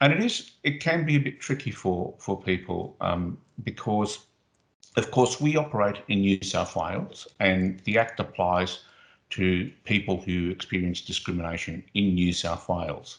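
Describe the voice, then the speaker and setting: Against a quiet background, a man with a fairly low pitch talks at a fairly slow pace with lively intonation. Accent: Australian. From Australia (arrived as young child, grew up there in the sixties). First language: Spanish. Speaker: anti-discrimination agency official. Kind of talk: interview. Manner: hesitant, many fillers.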